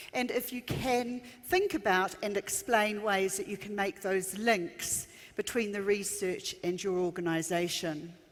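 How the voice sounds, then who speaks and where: Speaking fairly slowly in a New Zealand accent, a woman uses ordinary pitch variation over noticeable background noise. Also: medium pitch for a woman. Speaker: education consultant. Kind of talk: conference keynote. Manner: frequent um fillers.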